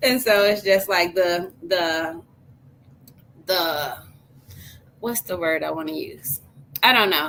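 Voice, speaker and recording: Speaking very slowly with long, frequent pauses, a woman uses a medium pitch and an American accent. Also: ordinary pitch variation. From US Midwest, St. Louis. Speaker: life coach, podcast host. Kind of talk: casual chat.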